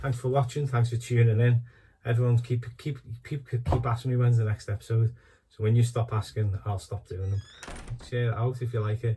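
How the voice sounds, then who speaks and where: The speech is mumbled and somewhat breathy at a fairly quick pace. Its tone is dark and mellow, its intonation flat and monotone. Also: man, medium pitch for a man. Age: middle-aged. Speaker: DIY hobbyist. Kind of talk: casual talk to camera. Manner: mumbling, rambling.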